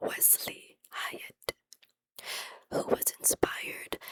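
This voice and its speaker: A woman is whispering, captured with a dry, close sound and no echo. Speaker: ASMR creator. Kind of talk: whispered history reading. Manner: whispered, soft-spoken.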